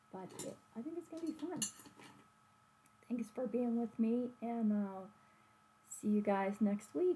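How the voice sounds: A woman speaks at a fairly slow pace with long, frequent pauses and a fairly high pitch. Her tone is dark and mellow with a slightly husky edge, and her pitch variation is ordinary.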